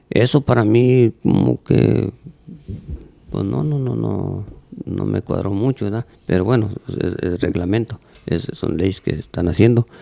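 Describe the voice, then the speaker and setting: A man's fairly low, dark, mellow voice with vocal fry, a fairly slow pace, long, frequent pauses, very wide pitch swings and a dry, close sound with no echo. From Mexico, Tonalá, Jalisco (rural). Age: old. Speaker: charreria judge. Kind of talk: casual interview chat.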